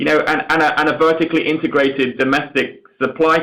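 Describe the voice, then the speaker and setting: The man's voice has a bright, sharp tone. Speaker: company chief executive. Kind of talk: earnings call answer. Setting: conference call. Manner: halting, repeats words.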